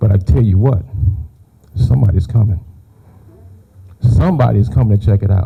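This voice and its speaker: A man's fairly low voice at a fairly quick pace, amid noticeable background noise. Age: 60s. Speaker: firefighter. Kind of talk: public speech.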